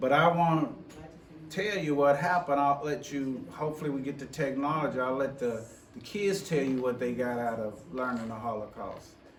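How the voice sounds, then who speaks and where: Noticeable background noise and audible room echo accompany a man talking at a moderate pace with ordinary pitch variation. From US South, Memphis, Tennessee. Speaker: educator and diversity officer. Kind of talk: presentation leading a group conversation. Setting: forum presentation before live audience. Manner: halting, many repetitions and fillers.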